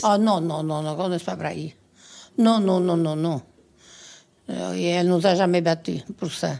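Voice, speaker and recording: Dark and mellow, a woman's fairly low-pitched voice moves at a very slow pace. She uses ordinary pitch variation and long, frequent pauses. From Gironde, southwest France. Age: 80s+. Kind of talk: interview answer. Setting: 1970s radio archive.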